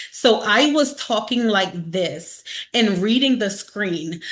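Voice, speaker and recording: A woman in an animated tone with lively intonation at a fairly slow pace, over noticeable background noise. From Baltimore, Maryland, US. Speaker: network marketing trainer. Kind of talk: motivational training talk. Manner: casual.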